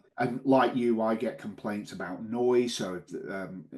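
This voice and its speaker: With a northern English accent, a man speaks at a moderate pace at a medium pitch with ordinary pitch variation. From northern England. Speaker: local councillor and podcast co-host. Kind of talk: casual chat.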